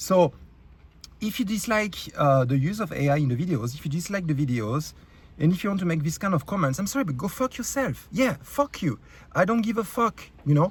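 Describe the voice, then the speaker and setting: Delivered at a fairly quick pace with a French accent, the voice swings very widely in pitch. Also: man, high pitch for a man. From France. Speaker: YouTube creator. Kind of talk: rant. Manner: halting, many fillers.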